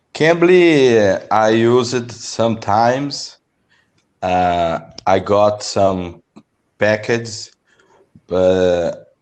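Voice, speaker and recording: Speaking with a Brazilian accent, a man with a fairly low voice goes at a very slow pace with long, frequent pauses. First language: Portuguese. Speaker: English learner. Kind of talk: language lesson conversation. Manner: halting.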